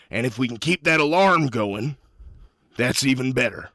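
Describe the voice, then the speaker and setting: A man puts on a raspy character voice at a medium pitch. He talks at a moderate pace. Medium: actual play. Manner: blunt, urgent.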